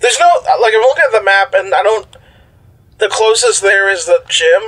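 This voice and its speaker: Pitched high, a man talks at a fairly quick pace. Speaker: player in role-playing game. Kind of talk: casual tabletop RPG chat.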